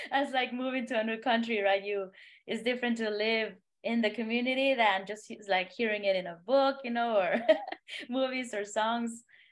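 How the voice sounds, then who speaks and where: In a Spanish accent, a woman talks at a fairly high pitch. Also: fairly even intonation, moderate pace. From Honduras. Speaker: singer-songwriter. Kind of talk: podcast interview. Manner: halting.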